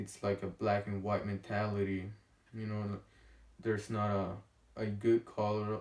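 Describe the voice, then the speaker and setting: In a strong Honduran accent, a man speaks at a fairly slow pace. His fairly low voice has monotone, flat intonation. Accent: thick Honduran Spanish. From Honduras. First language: Spanish. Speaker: vlogger. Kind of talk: casual vlog monologue. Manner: halting, many fillers and pauses.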